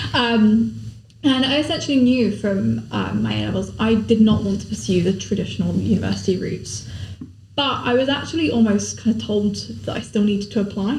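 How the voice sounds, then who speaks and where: A woman talks at a fairly quick pace. Audible room echo and noticeable background noise surround her. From Somerset, England. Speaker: law apprentice. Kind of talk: podcast interview.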